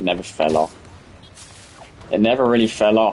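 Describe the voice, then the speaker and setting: Noticeable background noise behind a man's fairly low-pitched voice at a moderate pace. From UK. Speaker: gaming live streamer. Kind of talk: live stream chat while gaming. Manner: casual, animated.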